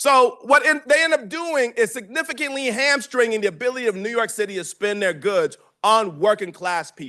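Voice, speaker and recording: Against a quiet background, a man with an American accent speaks in a raised, projected voice at an extremely high pitch, bright and sharp in tone, animated, with lively intonation and hardly any pauses. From Detroit area, Michigan. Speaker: professor. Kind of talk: lecture. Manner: loud.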